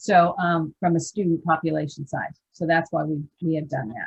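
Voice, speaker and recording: A somewhat breathy woman speaks at a moderate pace with a fairly low pitch and fairly even intonation. The sound is dry and close, with no echo. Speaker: scholarship program trainer. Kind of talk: training presentation over video call. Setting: video call.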